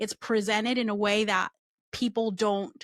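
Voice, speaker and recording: In a very clean recording with a silent background and a dry, close sound with no echo, a woman speaks at a fairly high pitch. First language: not English. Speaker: recruiting and employer branding expert. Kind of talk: interview conversation.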